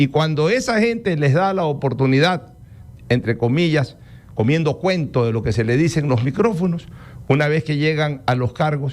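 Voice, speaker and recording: In an unremarkable speaking voice, a man with a fairly high pitch talks at a moderate pace with lively intonation and very even loudness. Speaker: radio host. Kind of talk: radio interview.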